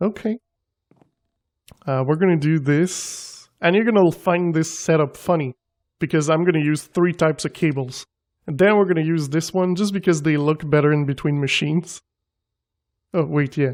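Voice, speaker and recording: A non-native accent at a moderate pace, broken by long, frequent pauses, in a very clean recording with a silent background. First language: not English. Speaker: gaming video creator. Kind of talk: gameplay commentary. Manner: casual, thinking aloud with fillers.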